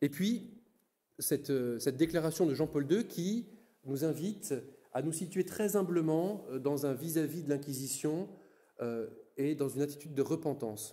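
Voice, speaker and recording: A man speaks at a fairly slow pace with long, frequent pauses, his fairly high voice dark and mellow in tone and ordinary in its pitch variation. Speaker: Dominican friar giving a lecture. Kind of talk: lecture. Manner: halting, many repetitions and fillers.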